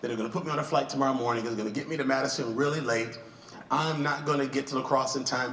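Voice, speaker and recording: Through audible room echo and noticeable background noise, a man with an American accent talks at a very fast pace in a fairly high pitch with ordinary variation. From Wisconsin, US. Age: 60s. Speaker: pastor and speaker. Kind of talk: keynote speech. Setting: stage with audience.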